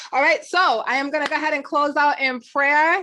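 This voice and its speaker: Speaking fairly quickly in a raised, projected voice, a woman sounds animated, her high pitch carrying a bright, sharp tone with ordinary pitch variation. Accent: New York. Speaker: podcast host. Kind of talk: casual chat.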